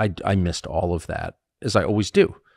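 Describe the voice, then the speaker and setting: A man with a very deep, low pitch and vocal fry speaks with ordinary pitch variation in a dry sound with no echo over a quiet background. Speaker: podcast host. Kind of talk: interview answer. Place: home room. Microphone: studio mic.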